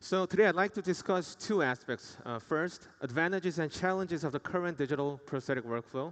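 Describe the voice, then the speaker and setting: Speaking in a Korean accent with hardly any pauses, a man with a fairly high pitch shows ordinary pitch variation. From South Korea. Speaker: dentist. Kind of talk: conference presentation. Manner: formal.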